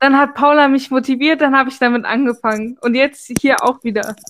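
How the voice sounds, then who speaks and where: A woman speaks in a high pitch with an animated tone. Noticeable background noise is present. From Germany. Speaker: podcast co-host. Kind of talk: casual chat. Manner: animated, frequent laughter.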